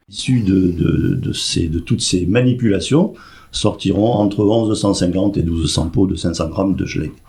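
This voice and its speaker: The man's voice is fairly low, with a dark, mellow tone and a somewhat breathy quality. He speaks at a moderate pace with ordinary pitch variation. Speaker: president of a seniors' club. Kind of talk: radio interview.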